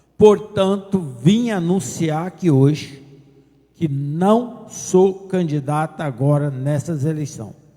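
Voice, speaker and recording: Ordinary pitch variation from a man speaking at a very slow pace. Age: 70s. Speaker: politician, former mayor. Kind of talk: press conference statement. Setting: press conference with audience.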